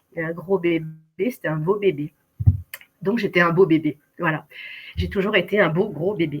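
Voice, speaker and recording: The voice is somewhat breathy, with fairly even intonation. Long pauses come often. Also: woman, fairly low pitch for a woman, moderate pace. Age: 60s. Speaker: keto dieter sharing her story. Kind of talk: testimony. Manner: hesitant, many fillers.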